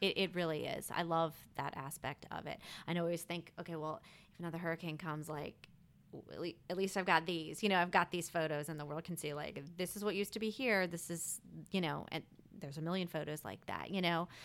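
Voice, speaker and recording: A woman talks very fast with an American accent. Her pitch is fairly low, and her intonation is fairly even. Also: very clean recording, silent background. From Maryland, outside Washington DC. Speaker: Instagram photographer, stay-at-home mom. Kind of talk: casual interview.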